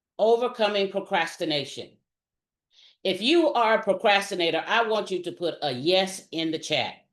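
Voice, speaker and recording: A woman talks at a moderate pace with medium pitch. Her tone is animated and her intonation lively. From US South, South Carolina. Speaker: retired military officer, leadership speaker. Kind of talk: motivational workshop talk.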